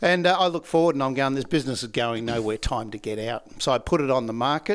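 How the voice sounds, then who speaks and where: In an Australian accent, the speaker rattles along at a very fast pace with lively intonation. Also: man, medium pitch for a man. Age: 60s. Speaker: laughter yoga trainer. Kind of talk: podcast interview.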